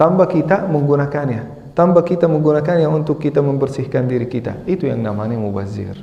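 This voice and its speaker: With an Arabic accent, the speaker rushes at a very fast pace with hardly any pauses and lively intonation, amid noticeable background noise and audible room echo. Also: man. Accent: Arabic-accented Indonesian. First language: not Indonesian (speaking Indonesian). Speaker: Islamic teacher. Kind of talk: religious lecture. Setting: mosque with audience. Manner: halting.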